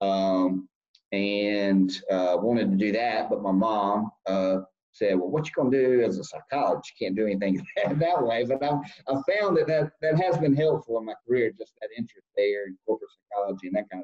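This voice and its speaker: Someone with a Southern US accent speaks at a moderate pace with a dark, mellow tone, lively intonation and big swings in loudness. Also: man, medium pitch for a man. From US South, South Carolina. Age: 40s. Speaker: lobbyist. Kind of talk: interview. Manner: halting.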